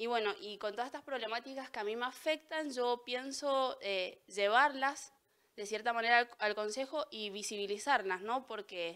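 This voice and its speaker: A woman with a high-pitched voice talks at a moderate pace against a quiet background. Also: ordinary pitch variation. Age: 20s. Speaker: local council candidate and student; council candidate. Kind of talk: candidate statement interview. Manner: halting, with repetitions. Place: studio. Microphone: handheld.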